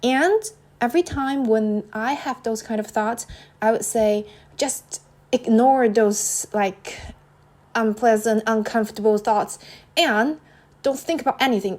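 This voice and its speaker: Pausing long and often, a woman with a non-native accent speaks at a fairly slow pace in a fairly high pitch with ordinary pitch variation. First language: not English. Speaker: podcaster. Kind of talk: casual solo podcast monologue. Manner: halting, many fillers and repetitions.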